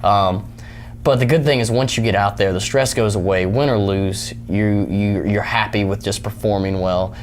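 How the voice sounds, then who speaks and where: A man's fairly low voice at a moderate pace, with ordinary pitch variation, noticeable background noise and audible room echo. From Tennessee. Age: 20s. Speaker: mixed martial arts fighter. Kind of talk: interview. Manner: hesitant, many fillers.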